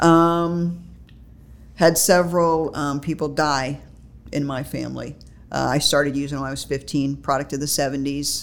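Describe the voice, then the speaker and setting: The speech is monotone and flat, delivered at a fairly slow pace with long, frequent pauses. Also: woman, very deep, low pitch for a woman. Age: 50s. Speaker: recovery group co-chair. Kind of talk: casual interview.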